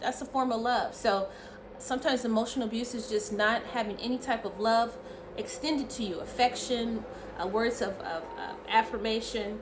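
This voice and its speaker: There is audible room echo and noticeable background noise as a woman speaks at a fairly high pitch with ordinary pitch variation. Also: moderate pace. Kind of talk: casual teaching talk to camera. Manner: frequent fillers (um, uh).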